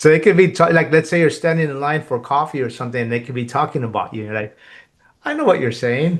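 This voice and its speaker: A man's fairly high voice at a very fast pace, with big swings in loudness, over a quiet background. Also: ordinary pitch variation. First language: Spanish. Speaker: podcast host. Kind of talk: casual interview chat.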